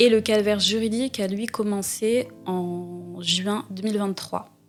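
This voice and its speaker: With music in the background, a woman speaks very slowly in a flat monotone, her loudness swinging widely. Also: medium pitch for a woman. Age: 20s. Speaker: student, identity theft victim. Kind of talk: interview testimony. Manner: hesitant, many fillers.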